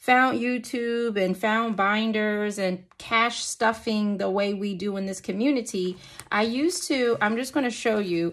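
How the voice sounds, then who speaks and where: This is a woman speaking at a moderate pace. Her pitch varies in an ordinary way. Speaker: budgeting vlogger. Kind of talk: casual vlog chat. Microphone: phone near.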